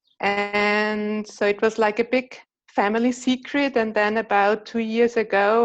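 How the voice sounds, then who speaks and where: A woman with a fairly high pitch and fairly even intonation against a quiet background. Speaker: participant in a Zen group call. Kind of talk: personal sharing in a group video call. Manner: halting, repeating words.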